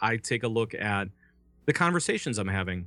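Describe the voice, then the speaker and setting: A man's bright, sharp, medium-pitched voice at a fairly quick pace, with ordinary pitch variation, on a very clean recording with a silent background. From Minnesota. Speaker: voice actor and podcast network founder. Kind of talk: casual interview.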